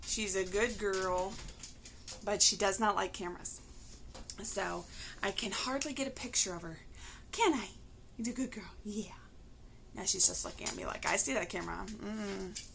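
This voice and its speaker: At a moderate pace with ordinary pitch variation, the speech has long, frequent pauses and big swings in loudness, with audible room echo and noticeable background noise. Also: woman, medium pitch for a woman. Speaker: crafting vlogger. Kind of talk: casual chat. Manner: hesitant, many fillers.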